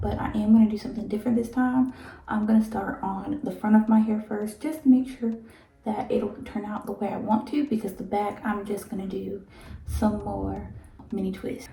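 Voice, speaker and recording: A woman whispers in a raspy, put-on character voice at a moderate pace. Her loudness swings widely. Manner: whispering.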